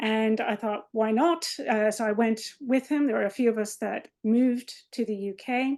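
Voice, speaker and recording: A woman with an American accent speaks at a moderate pace with hardly any pauses, in a fairly high pitch with fairly even intonation. She has an unremarkable speaking voice. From US, Maryland. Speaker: biomedical researcher, associate professor. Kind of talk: lecture. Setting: video call webinar.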